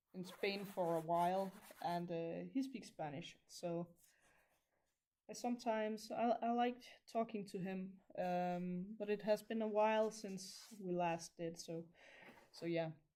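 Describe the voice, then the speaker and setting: With a Danish accent, a woman speaks at a fairly slow pace in a dark, mellow tone, leaving long, frequent pauses. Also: medium pitch for a woman, ordinary pitch variation. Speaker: crafter livestreamer. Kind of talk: casual livestream monologue while crafting. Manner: halting, stumbles over words.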